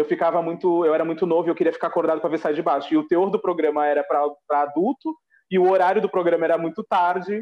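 Talking at a very fast pace, a man uses a high pitch and fairly even intonation. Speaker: podcast co-host. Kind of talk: casual chat.

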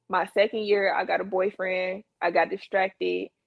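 A woman's medium-pitched voice. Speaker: entrepreneur, company founder. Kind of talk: casual chat.

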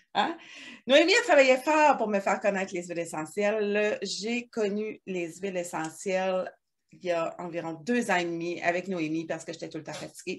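Using a normal speaking voice, a woman at a medium pitch talks at a moderate pace with lively intonation and big swings in loudness. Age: 40s. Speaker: hair extension technician, wellness consultant, podcast co-host. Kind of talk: casual chat. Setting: her shop, recording at a computer.

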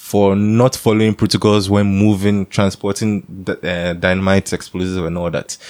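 A man with a Ghanaian accent speaks at a moderate pace in a fairly low voice, with hardly any pauses. His intonation is monotone and flat. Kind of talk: casual chat.

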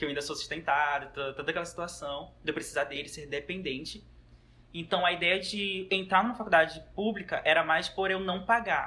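A man's high voice with ordinary pitch variation at a moderate pace. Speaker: guest, university student. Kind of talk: casual chat.

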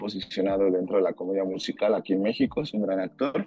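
A man speaks with a Mexican accent. His pitch variation is ordinary. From Mexico. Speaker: singer-songwriter and actor. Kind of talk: interview. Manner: halting, many fillers.

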